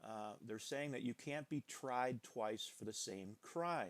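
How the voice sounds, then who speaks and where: Fairly slow speech with ordinary pitch variation, in a very clean recording with a silent background and a dry, close sound with no echo. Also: man. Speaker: teacher. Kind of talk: lecture. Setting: screen capture recording. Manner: halting.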